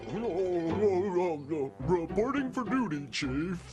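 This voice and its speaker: In a cartoonish character voice, a man talks at a fairly slow pace with a high pitch while clear music plays in the background. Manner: bumbling, hesitant.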